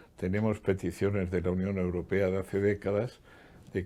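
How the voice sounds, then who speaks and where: Over a silent background in a very clean recording, a man with a very deep, low pitch and a dark, mellow tone talks at a moderate pace with fairly even intonation. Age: 80s+. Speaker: economist and former public official. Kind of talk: interview.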